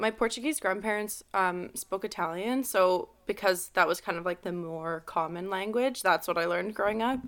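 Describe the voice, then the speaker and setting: In a Montreal accent, a woman speaks at a moderate pace with hardly any pauses. Her medium-pitched voice has lively intonation. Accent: English Canadian (Montreal anglophone). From Montreal, West Island, Quebec. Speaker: hairstylist. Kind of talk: casual interview. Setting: video call.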